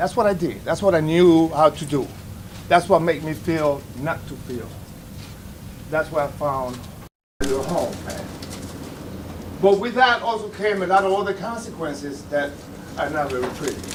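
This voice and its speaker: Amid noticeable background noise, a man speaks with lively intonation broken by long, frequent pauses. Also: fairly high pitch for a man, moderate pace. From Dominican Republic. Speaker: veteran in recovery. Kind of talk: testimony. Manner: loud.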